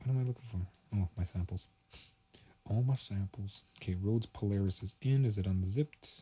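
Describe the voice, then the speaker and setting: A man with a fairly low pitch and a dark, mellow tone sounds somewhat breathy, his intonation fairly even, on a very clean recording with a silent background. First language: not English. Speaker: music producer streamer. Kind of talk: live stream commentary. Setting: bedroom. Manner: casual, thinking aloud.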